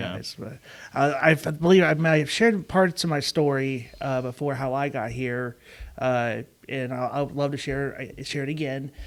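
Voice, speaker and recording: A man with a Chicago-area accent, fairly high in pitch, with ordinary pitch variation at a moderate pace. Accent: Chicago-area Midwestern, noticeable. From US Midwest (Chicago suburbs, DuPage County, Illinois). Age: 30s. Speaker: podcast host, car dealership employee. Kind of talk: casual chat. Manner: halting, many fillers.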